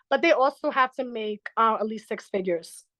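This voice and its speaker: A woman speaks at a fairly quick pace with a fairly high pitch, lively intonation and a bright, sharp tone. The sound is dry and close with no echo, over a quiet background. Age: 20s. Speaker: traveling bartender. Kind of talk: casual chat.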